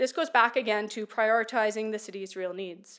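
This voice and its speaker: In a Canadian accent, a woman speaks at a fairly high pitch on a very clean recording with a silent background. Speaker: community presenter. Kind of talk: council presentation. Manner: fast.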